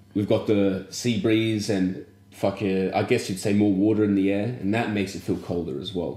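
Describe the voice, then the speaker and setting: A man with an Australian accent speaks at a moderate pace with fairly low pitch, fairly even intonation, and a dark, mellow tone. Audible room echo surrounds his voice. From Australia, small country town. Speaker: podcast co-host. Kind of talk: casual chat.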